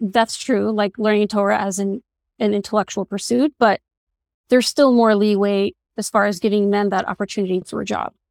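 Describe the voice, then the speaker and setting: In a very clean, dry, close recording with a silent background and no echo, a woman with an unremarkable speaking voice talks fairly quickly at a medium pitch with fairly even intonation. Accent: American. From Borough Park, Brooklyn, US. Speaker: doctor. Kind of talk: casual chat.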